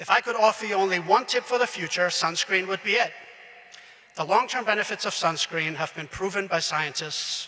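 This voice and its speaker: A man with a German accent and a high pitch talks at a moderate pace with ordinary pitch variation and long, frequent pauses, over noticeable background noise. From Austria. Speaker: graduation speaker. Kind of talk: commencement speech.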